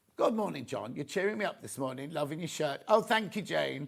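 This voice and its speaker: A man puts on a croaky character voice, fairly high in pitch with very wide pitch swings. He moves along at a fairly quick pace. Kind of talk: cheerful, chatty.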